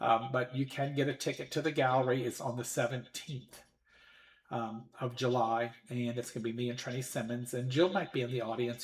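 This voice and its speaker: At a fairly quick pace, a man of medium pitch speaks in a somewhat breathy voice with monotone, flat intonation. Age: 60s. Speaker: psychic medium podcast host. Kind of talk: casual livestream chat. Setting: live stream from home. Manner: halting, many fillers.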